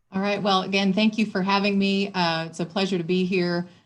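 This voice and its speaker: Here a woman speaks with a Michigan accent. Her pace is fairly quick. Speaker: city government official. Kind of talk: panel discussion.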